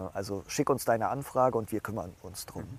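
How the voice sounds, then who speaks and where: A man of medium pitch speaks at a fairly quick pace with fairly even intonation, in a dry, close sound with no echo. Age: 30s. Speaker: startup founder. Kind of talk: interview. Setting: outdoors. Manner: halting.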